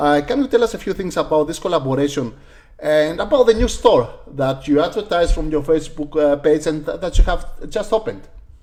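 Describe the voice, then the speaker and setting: A man with a Greek accent, fairly high-pitched and fairly quick, with lively intonation. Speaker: sport shooting channel host. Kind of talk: live stream interview.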